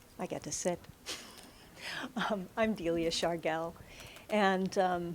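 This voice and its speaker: A soft-spoken woman, fairly low in pitch, with fairly even intonation and a very slow pace. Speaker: psychotherapist. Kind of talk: panel presentation. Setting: stage with audience.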